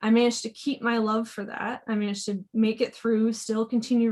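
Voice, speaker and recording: A woman's fairly high, somewhat breathy voice with monotone, flat intonation. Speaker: technical editor. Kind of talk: panel talk.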